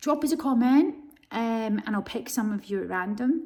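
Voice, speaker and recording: Speaking in a Scottish accent, a woman sounds animated at a moderate pace. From Scotland. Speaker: stove retailer and reviewer. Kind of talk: casual vlog demonstration. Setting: office with a stove, large cold building. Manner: chatty, animated.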